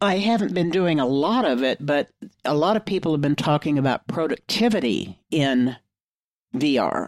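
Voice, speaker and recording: A woman's very deep, low pitch with very wide swings, dry and close with no echo, on a very clean recording with a silent background. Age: 70s. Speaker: tech podcast panelist. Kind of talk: casual panel chat.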